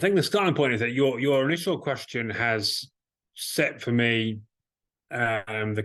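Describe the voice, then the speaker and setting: A man speaks at a fairly slow pace with an English accent, his pitch medium and its variation ordinary. The background is quiet. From England. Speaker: organization leader, guest. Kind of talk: conversational interview.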